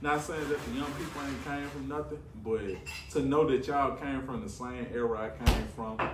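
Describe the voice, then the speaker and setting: Against noticeable background noise and audible room echo, a man speaks at a moderate pace with medium pitch and fairly even intonation. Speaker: podcast guest. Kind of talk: casual chat.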